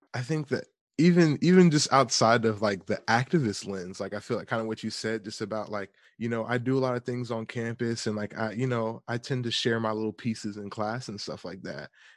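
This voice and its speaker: A man with an American accent talks at a fairly quick pace, at a medium pitch with ordinary pitch variation. The background is quiet. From US South, Atlanta, Georgia. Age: 20s. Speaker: music student and community organizer. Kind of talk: casual interview. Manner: hesitant, many fillers.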